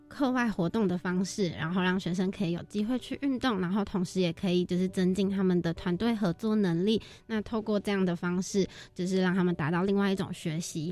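Moving at a fairly quick pace, a woman with a medium pitch and a dark, mellow tone keeps her loudness very even and her intonation fairly even. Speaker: university student, volunteer team leader. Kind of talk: radio interview.

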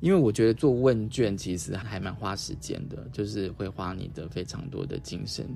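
Speaking at a moderate pace with hardly any pauses, a man uses a fairly low pitch, a dark, mellow tone, vocal fry, lively intonation and big swings in loudness, with audible room echo around him. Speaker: radio host. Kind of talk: casual interview.

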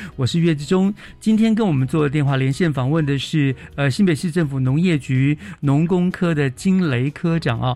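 A man's fairly high-pitched voice, a normal speaking voice with ordinary pitch variation. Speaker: radio host. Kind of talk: radio interview.

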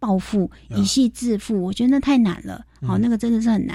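A somewhat breathy female voice with a fairly high pitch and dark, mellow tone, on a very clean recording with a silent background. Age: 40s. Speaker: financial expert. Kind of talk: radio interview.

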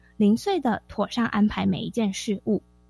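Over music in the background, a woman speaks at a moderate pace in a dry, close sound with no echo. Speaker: teacher. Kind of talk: radio interview. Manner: crisp, precise enunciation.

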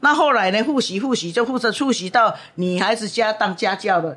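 Fairly high pitch from a woman in a plain, everyday voice, with lively intonation and a moderate pace. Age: 60s. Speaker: professional matchmaker. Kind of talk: interview. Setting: on location at her matchmaking agency.

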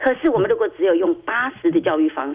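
The voice carries a Taiwanese accent and very wide pitch swings. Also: woman. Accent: Taiwanese Mandarin. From Taiwan, Tainan. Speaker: parent advocate, mother of a blind son. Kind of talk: radio interview.

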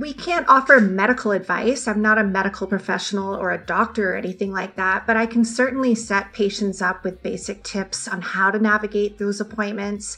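Talking at a fairly quick pace with a Canadian accent, a woman keeps a medium pitch and ordinary pitch variation over noticeable background noise. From Ontario, Canada. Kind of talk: radio interview.

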